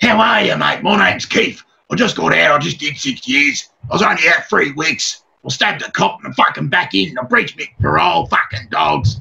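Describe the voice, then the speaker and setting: A man's raspy, put-on character voice, fairly high in pitch, at a fairly quick pace. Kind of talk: rough, street slang. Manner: brash, casual.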